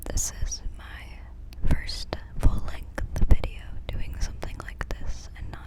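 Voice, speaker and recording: A whispering voice moves at a very slow pace against noticeable background noise. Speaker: ASMR artist. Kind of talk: ASMR whispering. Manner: whispered.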